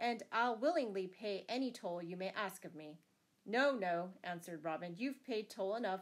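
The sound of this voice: Here an unforced voice reads aloud.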